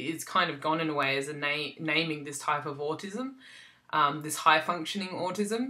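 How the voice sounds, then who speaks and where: Spoken with an Australian accent, the clip is a very clean recording with a silent background. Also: woman. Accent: generalized Australian. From South Australia. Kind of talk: casual vlog talk. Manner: hesitant, many ums.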